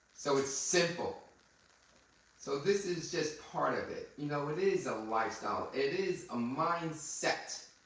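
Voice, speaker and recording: A man with a fairly high pitch and ordinary pitch variation talks at a fairly slow pace, with audible room echo and noticeable background noise. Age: 60s. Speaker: podcast host, anti-aging doctor. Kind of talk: casual chat.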